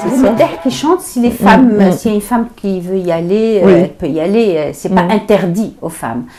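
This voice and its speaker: Over music in the background, a woman of medium pitch talks at a fairly quick pace with lively intonation and hardly any pauses. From Algeria. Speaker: storyteller. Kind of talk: interview answer.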